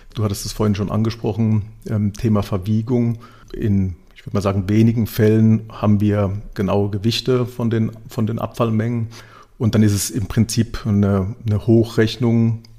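A man speaks in a fairly low, dark and mellow voice with monotone, flat intonation. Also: moderate pace, very clean recording, silent background. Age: 40s. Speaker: digitalization and sustainability manager. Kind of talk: podcast interview.

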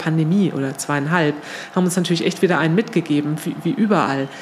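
A very fast pace and ordinary pitch variation, with noticeable background noise underneath. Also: woman. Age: 50s. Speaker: nonprofit managing director. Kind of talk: interview. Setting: in person at her workplace.

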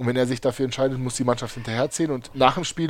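A man speaks very fast at medium pitch with fairly even intonation. The recording is very clean with a silent background. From Germany (Berlin, Heidelberg area), born in Uzbekistan. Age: 30s. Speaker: handball player. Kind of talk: casual chat.

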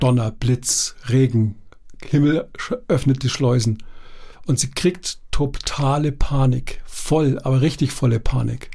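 With long, frequent pauses, a man speaks very slowly at a medium pitch in a dark, mellow, somewhat breathy tone, his pitch varying in an ordinary way. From southwestern Baden-Württemberg. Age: 60s. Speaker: university lecturer and coach. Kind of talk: casual chat. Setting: studio.

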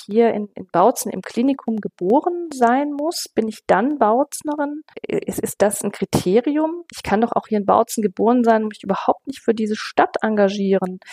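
A woman's fairly high, lively voice at a moderate pace, with big swings in loudness and a dry, close sound with no echo. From West Germany. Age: 50s. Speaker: city councillor and teacher. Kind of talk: interview. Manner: hesitant, many fillers.

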